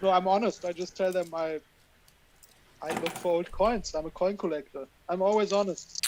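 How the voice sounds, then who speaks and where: A man with a German accent, high-pitched, fairly even in intonation, at a moderate pace with long, frequent pauses amid noticeable background noise. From western Germany, Cologne. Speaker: coin roll hunter. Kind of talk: live stream chat.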